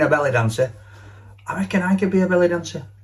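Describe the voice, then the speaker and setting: Speaking at a very fast pace, a man has a Yorkshire accent. His intonation is lively. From Yorkshire, Barnsley. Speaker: radio host. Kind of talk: casual chat. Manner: animated.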